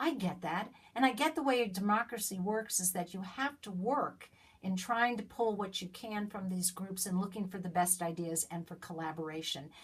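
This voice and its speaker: There is some breathiness in this voice. Its speed is moderate. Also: woman, medium pitch for a woman, lively intonation. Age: 60s. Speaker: citizen vlogger. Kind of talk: direct-to-camera political appeal. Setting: self-recorded on iPad. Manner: halting, repeating words.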